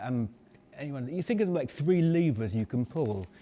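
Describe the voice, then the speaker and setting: A man with a dark, mellow tone at medium pitch, at a fairly quick pace and with lively intonation. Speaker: marketing strategist. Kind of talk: live talk to audience. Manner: fast.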